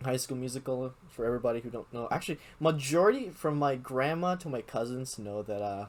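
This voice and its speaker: A man talks at a very fast pace with a Filipino accent. His pitch is medium. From Philippines. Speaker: podcast host. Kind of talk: casual chat.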